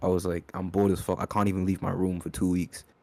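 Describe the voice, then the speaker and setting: A man's very deep, low voice, dark and mellow in tone, flat and monotone, at a fairly quick pace on a very clean recording with a silent background. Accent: British. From born in UK, raised in Kenya from age ten. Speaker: rapper. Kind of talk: interview. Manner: halting, many fillers.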